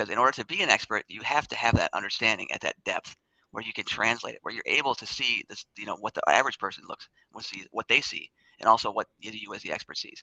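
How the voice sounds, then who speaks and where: Talking at a very fast pace, a man swings widely in loudness, and the sound is dry and close with no echo. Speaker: scientist. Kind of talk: casual chat.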